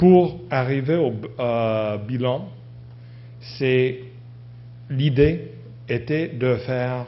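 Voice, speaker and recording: Audible room echo surrounds a man speaking at medium pitch and a very slow pace, with ordinary pitch variation and long, frequent pauses. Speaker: university professor giving a conference talk. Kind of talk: conference presentation. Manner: halting, many hesitations and restarts.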